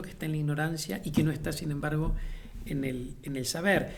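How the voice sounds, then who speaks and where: Audible room echo surrounds the speaker. He is a man with fairly high pitch. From Uruguay. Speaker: playwright and theatre director. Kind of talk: interview. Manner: hesitant, many fillers and repetitions; reflective.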